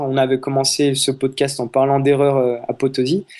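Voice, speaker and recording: This man has an unremarkable speaking voice, fairly high in pitch. He talks at a moderate pace against a quiet background. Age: 20s. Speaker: travel photographer. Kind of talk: interview conversation.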